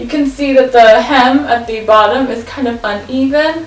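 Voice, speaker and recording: A woman speaks with ordinary pitch variation amid noticeable background noise and audible room echo. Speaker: fashion vlogger. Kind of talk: try-on haul video. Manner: casual, filler-heavy.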